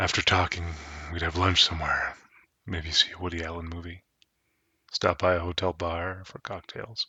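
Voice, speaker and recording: A man's very deep, low voice in a soothing tone, monotone and flat, with big swings in loudness and long, frequent pauses. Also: moderate pace. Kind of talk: ASMR story reading, sleep story. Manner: soft-spoken, soothing.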